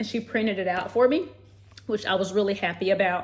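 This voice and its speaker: Noticeable background noise sits under a woman's fairly quick speech. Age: 30s. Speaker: lifestyle vlogger and health professional. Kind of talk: casual vlog talk to camera.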